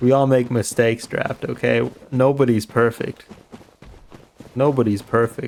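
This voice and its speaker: Amid noticeable background noise, a man speaks at a fairly slow pace in monotone, flat intonation, with long, frequent pauses. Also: medium pitch for a man. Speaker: streamer. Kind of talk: live gameplay stream chat. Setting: live stream. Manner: sounds sarcastic.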